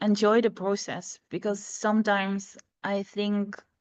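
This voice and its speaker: A woman speaks with a non-native accent. Her pitch sits fairly high. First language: not English. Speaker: energy coach. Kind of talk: interview conversation.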